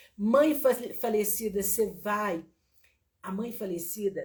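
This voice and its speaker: A somewhat breathy delivery at a fairly slow pace. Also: woman. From Minas Gerais, Brazil (small town near Viçosa). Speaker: teacher and therapist. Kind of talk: online lecture with live chat. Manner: slow, drawn-out.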